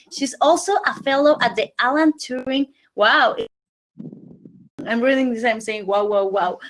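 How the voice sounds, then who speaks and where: Lively intonation marks a woman's high-pitched voice with a Spanish accent as she speaks at a fairly slow pace with long, frequent pauses. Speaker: panelist. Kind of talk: reading out an introduction. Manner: halting.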